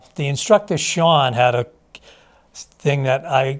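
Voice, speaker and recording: A somewhat breathy man talks at a moderate pace. His pitch is medium. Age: 60s. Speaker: addiction recovery client. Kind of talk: testimony. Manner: halting, many fillers.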